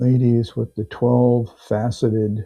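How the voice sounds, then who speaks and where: A man speaks at a very slow pace, his somewhat breathy voice keeping a fairly even intonation. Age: 60s. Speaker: live auction seller. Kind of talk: live selling stream.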